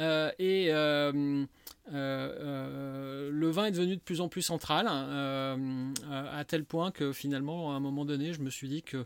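Speaking very slowly, a man holds a fairly high pitch and keeps his intonation fairly even. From Lyon, France. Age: 50s. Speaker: wine shop owner. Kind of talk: casual interview. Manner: halting, many fillers.

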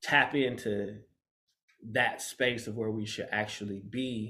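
A man speaks at a medium pitch. His pace is very slow. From Michigan, US (Grand Rapids). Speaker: fashion stylist and designer. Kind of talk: casual interview chat.

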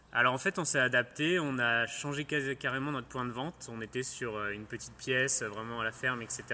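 This man's tone is bright and sharp. He speaks at a moderate pace with fairly even intonation. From Île-de-France, France. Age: 30s. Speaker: farmer. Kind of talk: radio interview. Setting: on the farm.

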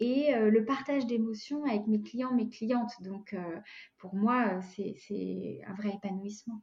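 A woman in a normal speaking voice talks at a fairly slow pace, with medium pitch and ordinary pitch variation. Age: 40s. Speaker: life coach. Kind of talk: interview.

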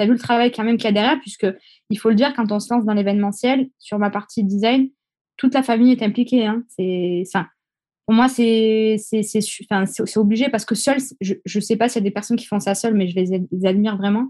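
A woman speaks at a fairly quick pace in a fairly high, somewhat breathy voice with a dark, mellow tone. Her intonation stays fairly even over a quiet background. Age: 20s. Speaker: event decorator. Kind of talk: interview.

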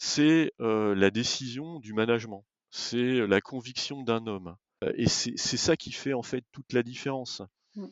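At a very slow pace, a man speaks with a medium pitch, ordinary pitch variation and big swings in loudness. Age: 50s. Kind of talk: interview. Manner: hesitant, frequent repetitions.

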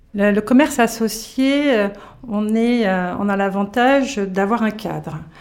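A woman talks at a very slow pace, her pitch fairly high with ordinary variation. Noticeable background noise runs underneath. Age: 50s. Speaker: retail business owner. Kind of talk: interview. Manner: hesitant, with frequent fillers.

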